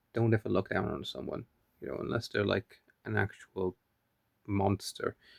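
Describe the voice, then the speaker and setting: A man speaks quietly at a moderate pace. The sound is dry and close, with no echo. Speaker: vlogger. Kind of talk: casual video diary monologue. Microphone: phone held close.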